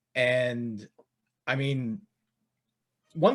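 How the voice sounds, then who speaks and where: A man with a Philadelphia accent talks at a medium pitch in a very clean recording with a silent background. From Philadelphia area, Delaware County. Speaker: fantasy wrestling podcast host. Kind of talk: casual podcast chat.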